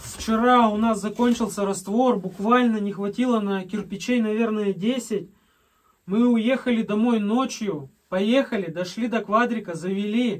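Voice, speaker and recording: Fairly slow and fairly even in intonation, a man speaks at a high pitch. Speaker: cabin builder vlogger. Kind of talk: casual vlog chat. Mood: relaxed storytelling. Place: home room.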